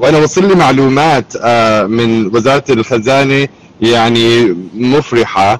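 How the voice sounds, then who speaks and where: A man speaks at a medium pitch and a fairly slow pace, his loudness very even and his pitch varying in an ordinary way, with noticeable background noise. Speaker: Syrian-American community activist. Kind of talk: live online discussion.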